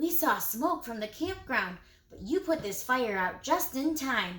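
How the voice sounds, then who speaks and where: In a put-on character voice, the speaker moves at a moderate pace with big swings in loudness and very wide pitch swings. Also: woman, high pitch for a woman. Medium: read story. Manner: friendly, reassuring.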